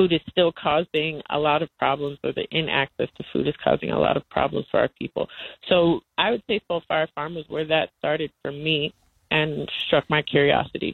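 A woman speaks at a moderate pace with an American accent. Her pitch is very deep and low, and her intonation stays fairly even. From US South, North Carolina. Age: 20s. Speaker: cooperative organizer and farmer. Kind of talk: interview. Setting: phone call.

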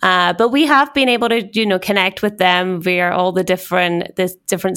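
A woman speaks with a Scottish accent. Her pace is moderate. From Scotland. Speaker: corporate communications executive. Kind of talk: casual interview conversation. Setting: office in New York.

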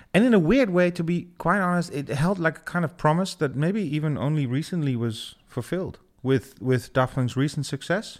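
A man with a Dutch accent and fairly high pitch, lively intonation, a moderate pace and hardly any pauses, in a very clean recording with a silent background. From Netherlands, Twente (Almelo). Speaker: DJ and music producer. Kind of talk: interview.

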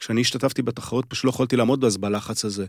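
A man with a medium pitch and fairly even intonation talks in a normal speaking voice, recorded very cleanly against a silent background. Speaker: former chess federation chairman. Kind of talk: casual chat.

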